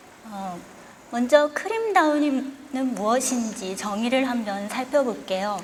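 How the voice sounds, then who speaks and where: Against noticeable background noise and audible room echo, a woman talks very slowly at a fairly high pitch. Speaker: tea science lecturer. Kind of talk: lecture. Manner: formal.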